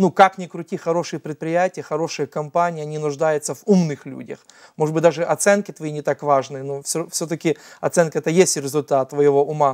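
Against a quiet background, a man speaks at a fairly quick pace with fairly high pitch, fairly even intonation, and big swings in loudness. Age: 30s. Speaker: nonprofit founder and adoptive father; talk show guest. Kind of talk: TV interview. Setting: TV studio. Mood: earnest, reflective storytelling. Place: studio. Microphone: lapel.

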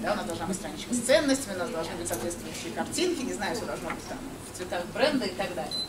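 Noticeable background noise accompanies a woman speaking very fast. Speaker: conference speaker. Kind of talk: conference talk. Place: meeting room.

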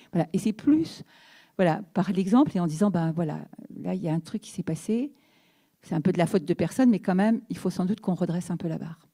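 A woman with a medium pitch and ordinary pitch variation talks at a fairly quick pace, pausing long and often. Her somewhat breathy, dark, mellow tone shows big swings in loudness against a quiet background. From Brittany, France. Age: 60s. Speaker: mayor. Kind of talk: panel discussion talk. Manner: halting. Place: hall. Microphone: handheld.

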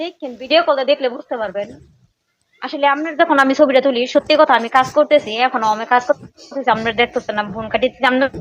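Her voice is high, with ordinary pitch variation. The woman's sound is dry and close, with no echo. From Bangladesh, Tangail district. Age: 20s. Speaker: marriage-seeking caller, fast food worker. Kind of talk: phone conversation.

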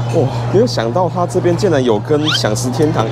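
Music plays in the background behind a man talking. His pitch variation is ordinary. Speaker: food vlogger. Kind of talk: casual vlog food review. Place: cafe. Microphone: lapel.

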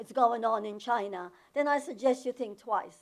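This woman's voice is fairly high. She talks at a moderate pace with lively intonation. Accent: non-native. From overseas, former socialist country. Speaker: public commenter at school board meeting. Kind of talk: public comment speech. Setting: public meeting.

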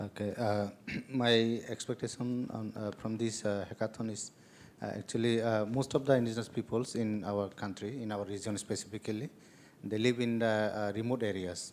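A man with a Tripura accent, medium pitch and monotone, flat intonation, at a moderate pace over light background noise. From Bangladesh. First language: Kokborok. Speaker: panelist. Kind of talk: panel discussion. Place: hall.

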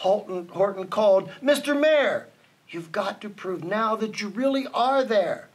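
Simply an unforced reading voice

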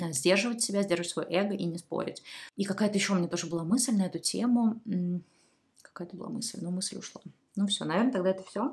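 Somewhat breathy, a woman talks at a very fast pace with ordinary pitch variation against a quiet background. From Saint Petersburg, Russia. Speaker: YouTube blogger answering viewer questions. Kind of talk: casual monologue, advice to viewers. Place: home room.

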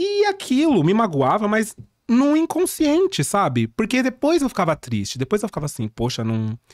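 A man talks at a moderate pace against a quiet background. The sound is dry, with no echo. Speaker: drag performer. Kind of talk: casual chat. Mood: relaxed, humorous storytelling. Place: studio. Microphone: studio mic.

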